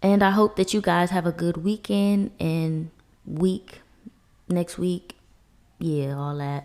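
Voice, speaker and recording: Calm in tone, a woman speaks very slowly at a fairly low pitch with ordinary pitch variation and long, frequent pauses. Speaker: podcast host. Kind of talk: casual chat. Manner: calm, mellow.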